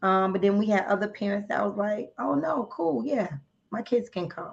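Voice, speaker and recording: With a New Jersey accent, a somewhat breathy woman speaks at medium pitch and a moderate pace, her intonation lively. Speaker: member of a women's charity group. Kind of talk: podcast interview.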